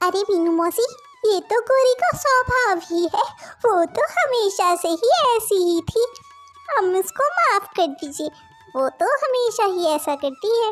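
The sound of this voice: In a squeaky, cartoonish character voice, a woman speaks at an extremely high pitch and a moderate pace, with faint music in the background.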